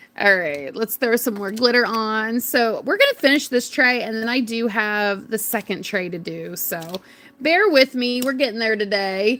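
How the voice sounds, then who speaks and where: With an American accent and a bright, sharp tone, a woman speaks at a moderate pace, her fairly high pitch showing ordinary variation. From North Carolina. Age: 30s. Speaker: craft livestreamer. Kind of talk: casual livestream chat. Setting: livestream. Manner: animated.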